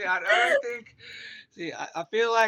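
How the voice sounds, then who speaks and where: A raised, projected voice in an Australian accent, bright and sharp in tone, with a dry, close sound and no echo. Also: man. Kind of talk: casual chat.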